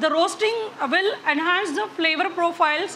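Raising and projecting her voice, a woman speaks over light background noise. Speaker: chocolatier instructor. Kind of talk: tutorial. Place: hall. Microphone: lapel.

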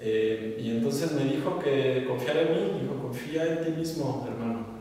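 Strong room echo surrounds a man with a dark, mellow tone. He talks at a moderate pace and medium pitch with ordinary pitch variation.

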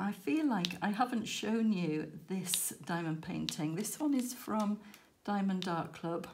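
Against light background noise, a woman with a British accent talks at a fairly slow pace with lively intonation. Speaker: crafting YouTuber. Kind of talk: casual chat. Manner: casual, hesitant with fillers.

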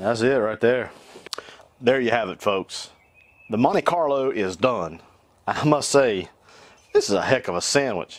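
In a North Carolina accent, a man at medium pitch talks at a fairly slow pace with lively intonation and long, frequent pauses, the sound dry with no echo. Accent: Southern US (North Carolina). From US South, North Carolina. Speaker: cooking YouTuber. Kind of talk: cooking tutorial. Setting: outdoors on back porch. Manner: animated. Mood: upbeat, jokey. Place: garden.

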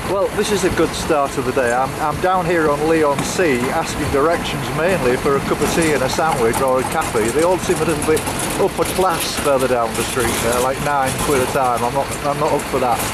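Talking at a fairly quick pace with hardly any pauses, a man keeps his loudness very even and his pitch variation ordinary, with noticeable background noise behind him. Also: fairly high pitch for a man. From northern England (Hull). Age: 70s. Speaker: long-distance coastal walker and vlogger.

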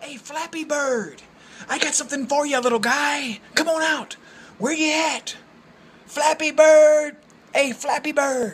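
A put-on character voice, high-pitched and fairly slow, with long, frequent pauses. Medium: voice reel. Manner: taunting, singsong calling.

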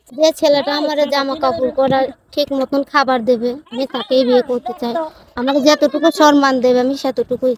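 A woman speaks at a high pitch in a monotone, flat way. The sound is dry and close with no echo, but background noise is noticeable. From Bangladesh, Bikrampur (Dhaka). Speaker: Bede community woman seeking marriage. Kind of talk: street interview.

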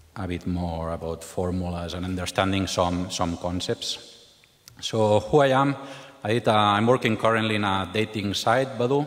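Using an ordinary speaking voice, a man talks at a moderate pace with a fairly low pitch and ordinary pitch variation. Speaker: conference speaker. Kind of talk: lecture. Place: hall.

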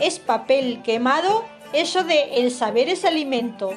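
With music in the background, a woman speaks at a fairly slow pace with lively intonation. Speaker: radio acting workshop student. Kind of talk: humorous first-person monologue reading.

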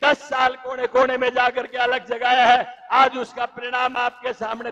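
A loud man's voice at an extremely high pitch and a fairly slow pace. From Haryana, India. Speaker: politician. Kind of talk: political rally speech. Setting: stage at a public rally. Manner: loud, forceful oratory. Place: stage. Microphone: handheld.

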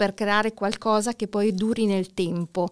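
A woman talks at a fairly slow pace in a medium pitch. The recording is very clean, with a silent background. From northern Italy, near Milan (Lombardy). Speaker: entrepreneur, real estate investor and NLP practitioner. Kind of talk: casual interview.

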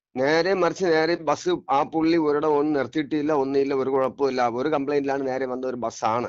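This man's fairly high voice keeps a fairly even intonation. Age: 50s. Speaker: eyewitness bus passenger. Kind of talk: phone interview testimony. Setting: phone call. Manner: halting, repetitive.

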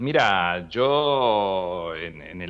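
The voice carries lively intonation in a Rioplatense accent. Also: man. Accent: Argentine Rioplatense Spanish. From Buenos Aires province, Argentina (small town). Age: 60s. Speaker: retired radio announcer and journalist. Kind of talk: interview. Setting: phone call.

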